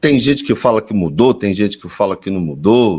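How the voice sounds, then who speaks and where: A man talks in a normal speaking voice with lively intonation at a moderate pace. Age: 50s. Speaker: interviewer. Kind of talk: interview.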